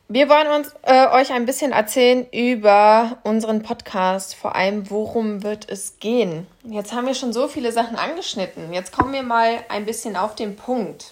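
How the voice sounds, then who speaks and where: Using a normal speaking voice, a woman with a fairly high pitch and ordinary pitch variation talks at a moderate pace with hardly any pauses. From Kassel, Germany. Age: 20s. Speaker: podcast co-host, life coach. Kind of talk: casual chat.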